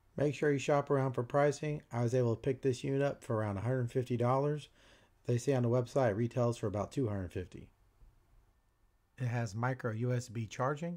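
A man talks at a very fast pace in a medium pitch with ordinary pitch variation. His tone is dark and mellow, and the background is quiet. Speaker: channel owner, camera operator and voice-over narrator. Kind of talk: product unboxing and review narration.

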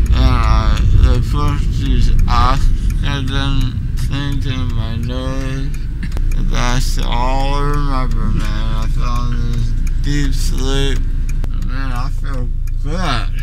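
A man at a very slow pace, dry with no echo, over loud background noise. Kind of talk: casual vlog chat. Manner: groggy, slurred post-anesthesia speech. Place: car. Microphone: phone near.

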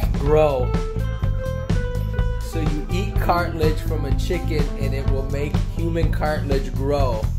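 Very slow speech over loud music in the background. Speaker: son filming his mother. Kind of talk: casual narration while filming. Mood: amused, teasing. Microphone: phone near.

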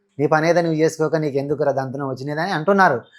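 A man's voice, very cleanly recorded against a silent background. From Telangana, Wanaparthy district village. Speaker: shepherd and social media influencer. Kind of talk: interview. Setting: studio.

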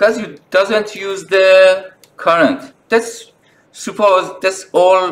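A very slow pace in a non-native accent. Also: man. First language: not English. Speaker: phone repair technician. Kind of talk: tutorial talk to camera. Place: workshop.

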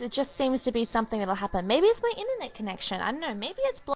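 A woman speaks quietly at a fast pace and a fairly high pitch. Her voice makes very wide pitch swings.

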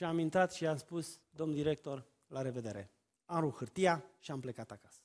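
In a normal speaking voice, a man talks at a fairly high pitch and a moderate pace against a quiet background. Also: ordinary pitch variation. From Romania, Oltenia (Târgu Jiu, Craiova); Romania. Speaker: family therapist and preacher; preacher. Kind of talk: sermon. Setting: church. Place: church.

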